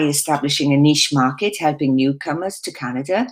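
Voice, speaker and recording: In a Welsh accent, a woman speaks at a moderate pace with a very deep, low pitch and ordinary pitch variation. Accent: Welsh, retained. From South Wales. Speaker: real estate agent. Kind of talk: presentation at online expo.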